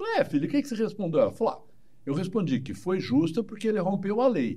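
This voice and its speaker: Lively intonation runs through this man's speech, delivered in a dark, mellow tone. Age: 60s. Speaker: psychologist. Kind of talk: interview. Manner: animated.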